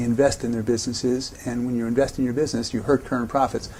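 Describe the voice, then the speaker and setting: Very fast speech with fairly even intonation, in an American accent. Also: man. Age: 60s. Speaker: investor. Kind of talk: interview answers.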